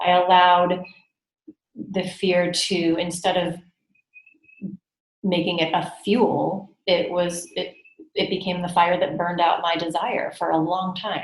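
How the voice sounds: A woman with a Californian accent, fairly low-pitched, slow, with little pitch movement, long, frequent pauses and audible room echo. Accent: American, Californian.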